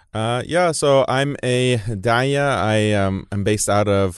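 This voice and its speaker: A man's unremarkable speaking voice with an American accent, at a fairly slow pace with ordinary pitch variation, against a quiet background. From United States. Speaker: Islamic preacher and writer. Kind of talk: interview. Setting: studio.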